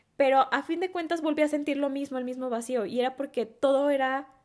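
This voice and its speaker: A woman with a Mexican accent talks at a fairly quick pace in a high voice. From Mexico, Guadalajara (Jalisco). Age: 20s. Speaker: entrepreneur. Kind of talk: interview.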